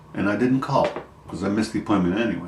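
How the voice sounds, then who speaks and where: Noticeable background noise is audible. A man talks, and the room echo can be heard. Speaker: vlogger sharing health update. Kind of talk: personal video diary. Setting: at home. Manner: halting, many fillers.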